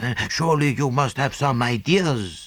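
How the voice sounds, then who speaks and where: Putting on a character voice, a man speaks at medium pitch and a moderate pace. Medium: read story. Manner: impatient, urgent.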